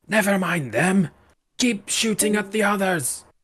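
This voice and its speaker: A put-on character voice, raspy and at a middle pitch, delivered at a moderate pace. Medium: actual play. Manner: gruff, curt.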